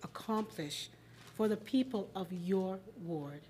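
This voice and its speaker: The voice is dark and mellow in tone and somewhat breathy, its pitch swinging very widely over light background noise. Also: woman. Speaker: debate moderator. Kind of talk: moderated debate. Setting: stage with audience. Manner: warm and chatty. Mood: warm, upbeat. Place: hall. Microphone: podium.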